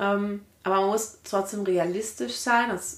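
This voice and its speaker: This is a woman with an unremarkable speaking voice. Her pitch varies in an ordinary way. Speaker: mother and local councillor. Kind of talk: casual interview chat.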